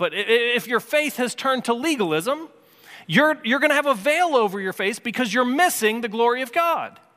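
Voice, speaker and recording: A man's extremely high, bright, sharp voice, raised and projected, with very wide pitch swings and a fairly quick pace. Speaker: pastor. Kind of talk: sermon. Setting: church. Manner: earnest, urgent, impassioned preaching; direct, warm and conversational, with repeated restarts.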